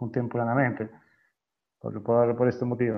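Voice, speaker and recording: A man speaks. His pitch sits in the medium range. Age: 40s. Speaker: wedding videographer. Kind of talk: interview. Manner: halting.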